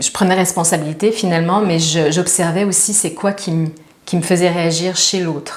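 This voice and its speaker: A woman in a Quebec accent at a fairly low pitch, with fairly even intonation and audible room echo. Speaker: spiritual teacher. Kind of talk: casual chat.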